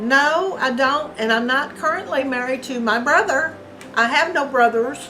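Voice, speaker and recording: A woman with a Kentucky accent speaks at a high pitch in a raised, projected voice, at a moderate pace with ordinary pitch variation. Music plays in the background, and the room echo is audible. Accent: Southern Kentucky. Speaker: interview guest. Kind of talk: casual interview.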